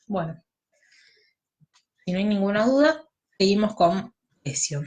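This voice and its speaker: Somewhat breathy and at medium pitch, a woman speaks at a fairly slow pace with very wide pitch swings. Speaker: law tutor. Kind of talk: lecture.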